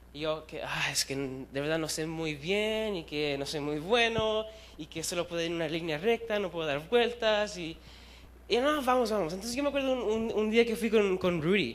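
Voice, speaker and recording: Audible room echo surrounds a man talking at a high pitch with lively intonation. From Chile, raised in Chicago among Puerto Ricans. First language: bilingual with English, weaker Spanish (speaking Spanish). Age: 20s. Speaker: youth preacher. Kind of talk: sermon. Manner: fast; halting, with fillers.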